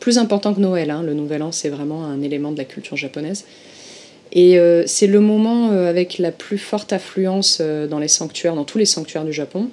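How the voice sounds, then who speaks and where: A woman speaks at a moderate pace in a normal speaking voice. Her fairly low pitch shows ordinary variation. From southern France, Marseille. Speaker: former Japanese shrine worker, Shinto expert. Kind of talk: interview conversation. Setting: remote call from Tokyo.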